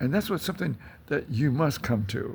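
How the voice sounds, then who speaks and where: The man's pitch swings very widely. Vocal fry runs through his voice. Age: 80s+. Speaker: philosophy teacher and author. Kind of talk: informal talk to camera. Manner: halting, many fillers.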